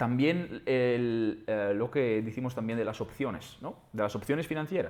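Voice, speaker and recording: Speaking with an Italian accent, a man uses a medium pitch, ordinary pitch variation and a fairly slow pace. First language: Italian (speaking Spanish). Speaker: trader and trading platform founder. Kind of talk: interview. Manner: halting, many false starts and repetitions.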